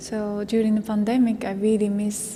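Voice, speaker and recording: A woman with a Japanese accent talks at a medium pitch. Noticeable background noise and audible room echo fill the recording. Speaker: vocal musician. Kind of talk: interview. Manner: halting, many fillers.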